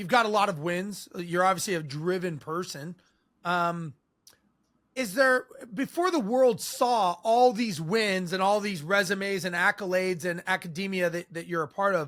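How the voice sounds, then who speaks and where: This man's voice sits high in pitch, with ordinary pitch variation. His tone is bright and sharp. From Southern California. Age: 50s. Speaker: podcast host. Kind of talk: interview. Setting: video call.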